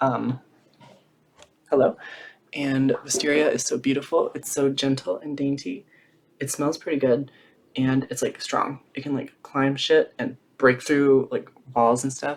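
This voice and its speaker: The speaker is quiet and talks at a fairly slow pace. Long pauses come often. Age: 20s. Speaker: drag queen vlogger. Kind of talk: casual Q&A vlog. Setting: at home with blanket and tea. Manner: quiet, reserved; hushed to keep quiet.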